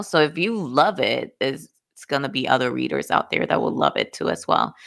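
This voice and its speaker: A woman with a Dominican accent, on a very clean recording with a silent background. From Dominican Republic. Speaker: book podcast co-host. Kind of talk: casual chat. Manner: laughs often.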